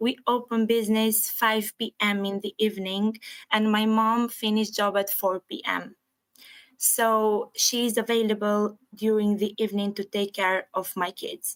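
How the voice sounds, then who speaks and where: A woman with a non-native accent speaks at a fairly high pitch and a fairly slow pace. Her intonation is monotone and flat, in a dry, close sound with no echo. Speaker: licence applicant, restaurant manager. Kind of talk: formal hearing testimony.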